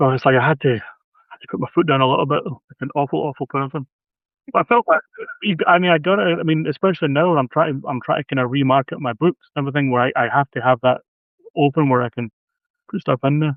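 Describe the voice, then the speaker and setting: A man talks at a very fast pace, broken by long, frequent pauses. His pitch is fairly high, with ordinary pitch variation. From Scotland. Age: 50s. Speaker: horror author. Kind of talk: casual chat. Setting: live video stream.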